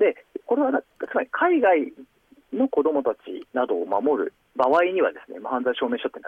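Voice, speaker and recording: The speaker keeps a moderate pace. Loudness rises and falls in big swings. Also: man. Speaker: NPO leader, childcare advocate. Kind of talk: radio interview.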